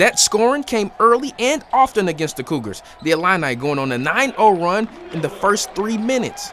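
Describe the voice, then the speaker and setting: Over noticeable background noise, a man with a high pitch talks at a moderate pace in an upbeat, energetic tone with very wide pitch swings. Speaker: sports reporter. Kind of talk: TV sports news reporting. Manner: upbeat, energetic, punny.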